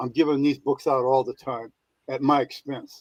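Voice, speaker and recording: A man speaks at a fairly high pitch in a flat monotone. The sound is dry and close, with no echo. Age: 70s. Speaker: minister. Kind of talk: caller testimony.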